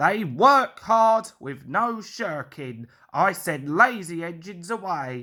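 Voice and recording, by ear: Putting on a character voice, a man speaks slowly in a high pitch with lively intonation and a bright, sharp tone.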